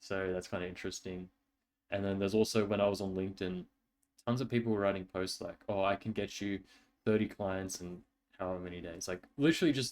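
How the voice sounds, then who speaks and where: The man's voice sits fairly low. He speaks at a very fast pace. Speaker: vlogger. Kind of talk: casual chat. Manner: animated.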